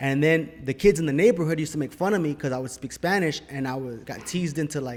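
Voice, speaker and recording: Speaking very fast in an American accent, a man uses a fairly high pitch with ordinary pitch variation. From Los Angeles, El Sereno. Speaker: actor. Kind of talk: casual chat.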